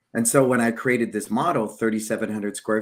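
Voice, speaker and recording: Speaking at a fairly quick pace, a man uses a normal speaking voice with fairly low pitch and fairly even intonation. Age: 60s. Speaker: martial arts school owner and business show host. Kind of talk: casual business interview chat. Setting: live stream video call.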